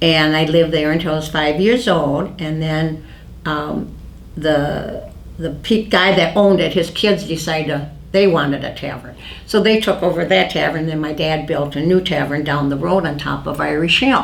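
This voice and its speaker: A woman's very deep, low voice in an Upper Midwest accent at a moderate pace, with audible room echo and noticeable background noise. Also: ordinary pitch variation. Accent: Upper Midwest American. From US Midwest, western Wisconsin. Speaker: oral history interviewee. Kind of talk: oral history interview. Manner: halting.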